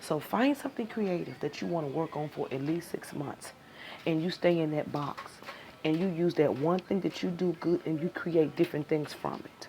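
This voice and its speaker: Noticeable background noise runs throughout. The pace is moderate, and the pitch varies in an ordinary way. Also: woman. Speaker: tarot reading teacher. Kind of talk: live-streamed class.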